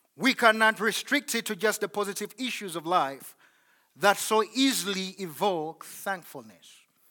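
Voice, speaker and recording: A man with a high pitch and a bright, sharp tone uses a raised, projected voice and lively intonation at a fairly slow pace, on a very clean recording with a silent background. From Uganda. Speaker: visiting pastor. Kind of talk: sermon. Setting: church.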